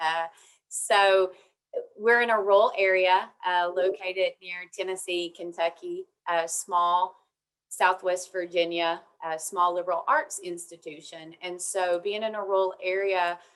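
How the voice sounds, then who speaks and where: A woman speaks fairly slowly in an Appalachian accent, at a medium pitch with fairly even intonation. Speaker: university administrator, panelist. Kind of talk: webinar panel talk.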